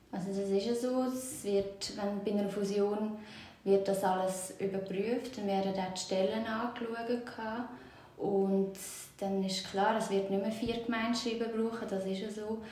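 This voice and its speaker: Over noticeable background noise and audible room echo, a woman speaks fairly slowly in a medium pitch with monotone, flat intonation. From Switzerland, Aargau (Zurzibiet). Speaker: municipal clerk. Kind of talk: interview.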